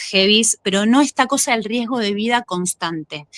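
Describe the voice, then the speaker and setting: The voice has a bright, sharp tone in a Rioplatense accent, with ordinary pitch variation and a dry, close sound with no echo. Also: woman. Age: 30s. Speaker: actress and former gymnast. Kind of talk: interview. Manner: halting.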